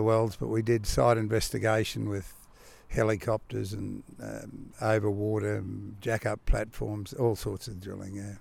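Speaking with an Australian accent, a man talks at a fairly slow pace in a fairly low voice. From Victoria, Australia. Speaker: retired driller. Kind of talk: interview. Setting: outdoors on a porch.

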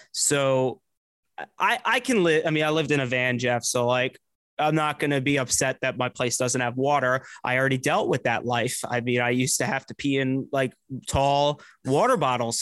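An American accent marks a man's unremarkable speaking voice, medium in pitch, at a moderate pace with fairly even intonation. The sound is dry and close with no echo. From New Jersey. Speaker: radio producer. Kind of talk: casual chat.

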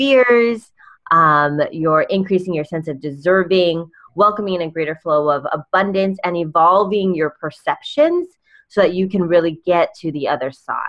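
In a normal speaking voice with an American accent, a woman speaks at a moderate pace with medium pitch and lively intonation. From California. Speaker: life coach and speaker.

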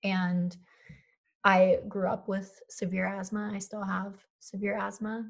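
A woman with an American accent talks at a fairly slow pace. Her somewhat breathy voice keeps a monotone, flat intonation. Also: medium pitch for a woman. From US Northeast, Philadelphia. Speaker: climate activist and writer. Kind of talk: interview.

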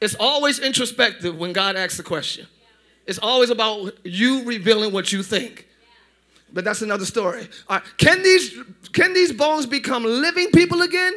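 A man speaks in a raised, projected voice at extremely high pitch. His tone is animated, with very wide pitch swings. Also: moderate pace. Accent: American. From northern US. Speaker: pastor. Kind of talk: sermon. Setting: church service with congregation.

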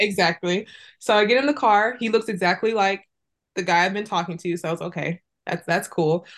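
Against a quiet background, a woman with a plain, everyday voice speaks at medium pitch and a fairly quick pace, with ordinary pitch variation. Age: 20s. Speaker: relationship coach. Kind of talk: casual interview. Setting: video call from her closet.

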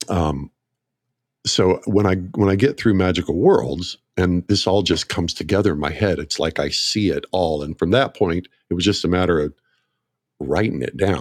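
Recorded very cleanly against a silent background, with a dry, close sound and no echo, a man with an American accent speaks at a moderate pace in a very deep, low pitch with ordinary pitch variation. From US South, northeast Oklahoma near Tulsa. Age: 60s. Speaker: marketer and radio ad writer. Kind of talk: casual chat. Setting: studio.

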